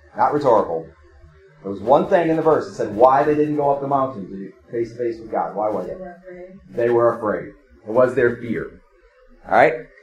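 A man with a medium pitch talks at a fairly quick pace with lively intonation, big swings in loudness and long, frequent pauses. Noticeable background noise and audible room echo fill the recording. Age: 50s. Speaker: pastor. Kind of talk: sermon. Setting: church.

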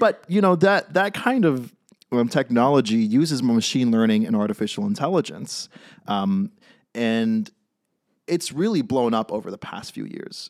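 In a very clean recording with a silent background, a man with a Californian accent talks at a moderate pace and a medium pitch. His pitch swings very widely and his loudness shifts a great deal. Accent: Californian American. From California (San Francisco). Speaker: startup cofounder, technologist. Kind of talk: casual chat. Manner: joking, hesitant with many fillers.

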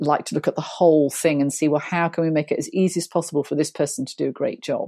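A woman speaks with a British accent in a very deep, low voice, her dark, mellow tone carrying ordinary pitch variation over a dry, close sound with no echo, a very clean recording and a silent background. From Britain. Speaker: HR and hiring consultant. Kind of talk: casual interview chat.

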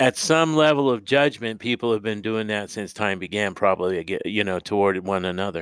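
With an American accent, a man speaks at a fairly low pitch with ordinary pitch variation and hardly any pauses, in a plain, everyday voice. The recording is very clean, with a silent background. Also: moderate pace. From California. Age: 60s. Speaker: podcast host. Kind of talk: interview; scripted statement.

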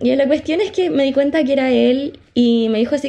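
A woman with a Chilean accent speaks in a dark, mellow tone with lively intonation. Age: 20s. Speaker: podcast co-host, psychology student. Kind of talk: casual chat. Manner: animated.

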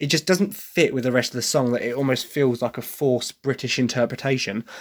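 A man talks fairly quickly, his pitch varying in an ordinary way, on a very clean recording where the background is silent. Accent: Essex. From Essex, England. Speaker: podcast host. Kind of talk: casual solo podcast monologue.

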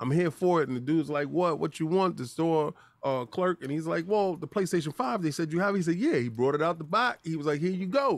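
At a fairly quick pace with hardly any pauses, a man speaks with a fairly high pitch and lively intonation. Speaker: gaming podcast co-host. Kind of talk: casual chat. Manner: animated.

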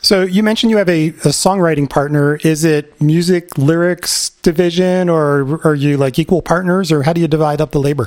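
An unremarkable speaking voice with an American accent talks at a fairly quick pace, with hardly any pauses. Loudness stays very even and the intonation is fairly even. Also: man, fairly high pitch for a man. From Philadelphia area, US. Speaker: podcast co-host. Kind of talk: casual chat.

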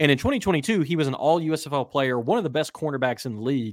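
A man with an American accent and a normal speaking voice, fairly high in pitch, with lively intonation. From West Virginia. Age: 30s. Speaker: football writer. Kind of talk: casual chat.

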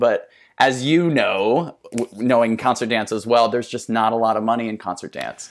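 A plain, everyday voice with an American accent at a moderate pace, in a very clean recording with a silent background. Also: man. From US Midwest, South Dakota. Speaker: dancer and choreographer. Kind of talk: casual interview chat.

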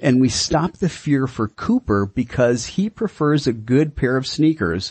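Using a normal speaking voice, a man speaks at a medium pitch and fairly slow pace with lively intonation. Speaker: radio host. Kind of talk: radio interview. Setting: radio studio.

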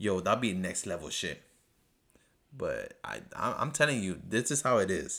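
Speaking at a moderate pace, a man uses an animated, bright and sharp tone in a very clean recording with a silent background. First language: not English. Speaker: podcast host. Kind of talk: solo TV episode review monologue.

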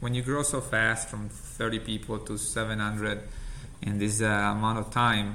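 A man with an Italian accent speaks in a bright, sharp tone. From Italy.

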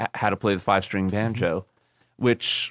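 In a normal speaking voice with an American accent, a man talks at a moderate pace and fairly low pitch, in a very clean recording with a silent background and a dry, close sound with no echo. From New York City, Long Island area. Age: 50s. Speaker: banjo player and music teacher. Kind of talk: interview.

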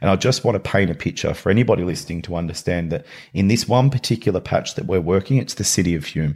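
On a very clean recording with a silent background, a man with an Australian accent speaks at a very fast pace, his very deep, low pitch showing ordinary variation. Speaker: nonprofit CEO. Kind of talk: podcast interview.

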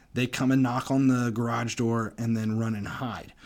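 In a very clean recording with a silent background, a man speaks in a plain, everyday voice with an American accent. His pitch is medium, his pace moderate and his intonation fairly even. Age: 40s. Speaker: podcast host. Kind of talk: casual monologue.

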